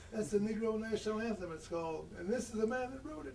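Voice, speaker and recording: Noticeable background noise sits behind a man speaking. He talks fairly quickly with lively intonation. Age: 80s+. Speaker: historian. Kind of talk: interview answer, personal reminiscence. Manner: reflective, with hesitations.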